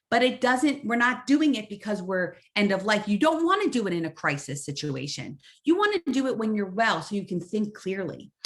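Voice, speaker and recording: A woman talks at a moderate pace with hardly any pauses, her voice somewhat breathy. Her pitch swings very widely. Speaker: social worker and health educator. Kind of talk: webinar lecture.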